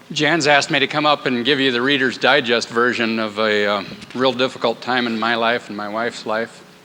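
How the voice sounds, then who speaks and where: A man at a medium pitch in a Midwestern US accent, moderate pace and fairly even intonation, over noticeable background noise. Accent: US Midwest. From Iowa, US Midwest. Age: 50s. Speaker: course participant sharing his story. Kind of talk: testimony.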